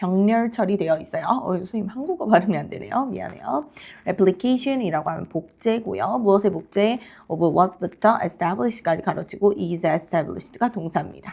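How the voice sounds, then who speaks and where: A woman at medium pitch with a dark, mellow tone, lively intonation and a fairly slow pace. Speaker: English teacher. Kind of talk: lecture. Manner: halting.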